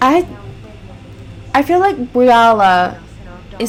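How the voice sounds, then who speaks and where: There is noticeable background noise. Through it, a woman talks with a fairly high pitch. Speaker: gaming let's play creator. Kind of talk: casual gameplay commentary. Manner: loud.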